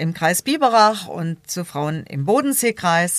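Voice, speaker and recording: An ordinary speaking voice from a woman at a fairly slow pace, dry and close with no echo. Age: 50s. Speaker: local politician, equal opportunities officer. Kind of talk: debate interview.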